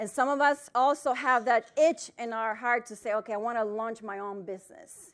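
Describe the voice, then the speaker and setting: A loud, high-pitched woman's voice with a Spanish accent. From Dominican Republic. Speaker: financial planner. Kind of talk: keynote talk. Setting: stage with audience. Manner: loud, projecting.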